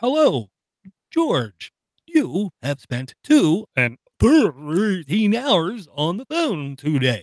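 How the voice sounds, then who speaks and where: A man uses a put-on, robotic character voice with a high pitch and very wide pitch swings. He speaks very slowly, in a dry, close sound with no echo. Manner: mechanical.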